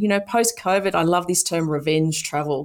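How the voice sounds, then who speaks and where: Recorded very cleanly against a silent background, a woman talks with an Australian accent and ordinary pitch variation. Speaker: sports event executive. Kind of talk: interview.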